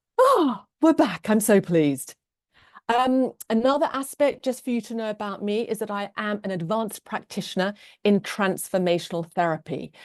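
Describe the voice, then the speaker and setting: Against a quiet background, a woman with a British accent speaks at a moderate pace, her fairly high voice carrying lively intonation. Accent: very British. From England. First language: Norwegian. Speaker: love coach and transformational therapist. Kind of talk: online class / webinar talk.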